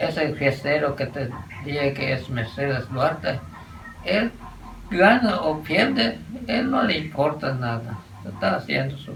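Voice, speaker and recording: Speaking at a fairly slow pace with long, frequent pauses, a man with a fairly high voice uses lively intonation amid noticeable background noise and audible room echo. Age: 90s. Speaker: elderly local resident. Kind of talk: interview testimony.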